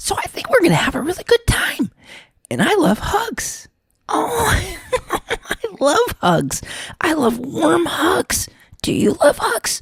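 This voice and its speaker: In a high-pitched put-on character voice, the speaker goes at a fairly slow pace with long, frequent pauses. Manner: warm, cheerful, affectionate.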